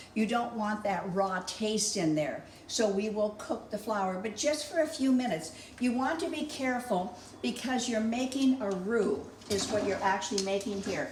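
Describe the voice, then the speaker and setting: Amid audible room echo and noticeable background noise, a woman with a fairly high pitch speaks at a moderate pace with lively intonation. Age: 70s. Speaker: home cooking channel host. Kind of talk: cooking tutorial. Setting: home kitchen. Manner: chatty, folksy.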